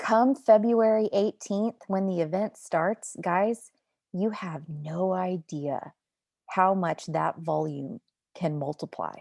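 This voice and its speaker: A woman's animated, excited voice at a medium pitch, with ordinary pitch variation and a dry, close sound free of echo. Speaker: network marketing team leader. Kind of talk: team motivational video call. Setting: video call. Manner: excited, intense.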